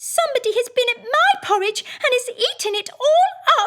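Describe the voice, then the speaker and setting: A woman's put-on character voice, raised and projected, at an extremely high pitch and a moderate pace. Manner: plaintive, storybook.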